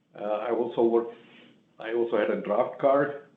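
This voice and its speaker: A man speaks, and echo from the room is audible. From India. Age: 80s+. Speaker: retired engineer, business owner. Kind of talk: public meeting testimony. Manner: halting.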